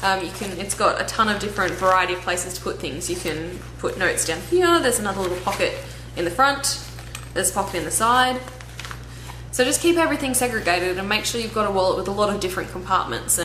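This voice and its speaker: There is noticeable background noise and audible room echo as a woman talks at a very fast pace with an Australian accent. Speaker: travel vlogger. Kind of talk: vlog Q&A.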